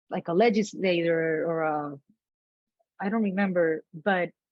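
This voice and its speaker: A woman in a Puerto Rican accent, fairly slow, with ordinary pitch variation. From Puerto Rico. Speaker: actor. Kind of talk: interview answer.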